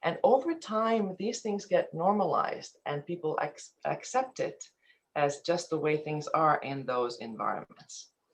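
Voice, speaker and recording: The speaker talks at a fairly slow pace with a slight Finnish accent. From Finland, then eastern Canada from teens. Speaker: ethics and compliance presenter. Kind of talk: webinar presentation. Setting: online webinar.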